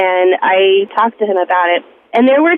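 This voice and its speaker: Spoken at a moderate pace in a plain, everyday voice. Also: woman. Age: 40s. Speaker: radio call-in caller. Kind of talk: testimony.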